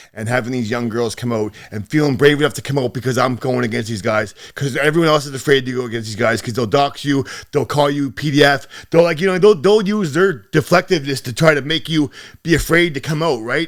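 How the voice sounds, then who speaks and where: A man with a fairly high voice races along at a very fast pace, his intonation lively, while noticeable background noise fills the clip. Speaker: rapper and online activist. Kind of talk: podcast interview.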